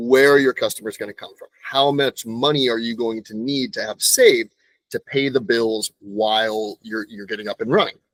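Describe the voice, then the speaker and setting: In an unremarkable speaking voice of medium pitch, a man talks at a moderate pace with ordinary pitch variation and big swings in loudness, the sound dry and close with no echo. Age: 30s. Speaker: moving company owner. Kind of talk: interview. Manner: conversational, some self-repetition.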